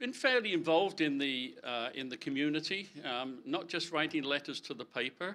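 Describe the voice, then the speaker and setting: Fairly high-pitched and bright, sharp in tone, a man talks at a moderate pace with lively intonation. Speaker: election candidate. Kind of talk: candidate speech at public meeting. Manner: halting, many fillers and repeats.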